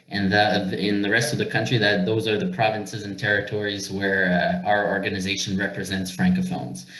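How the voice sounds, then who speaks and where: A man with a French accent, fairly low in pitch, with ordinary pitch variation and hardly any pauses, amid noticeable background noise and audible room echo. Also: fairly quick pace. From Northern Ontario, Canada (Sudbury). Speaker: representative of a francophone minority organization. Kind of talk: webinar presentation. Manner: halting, many fillers.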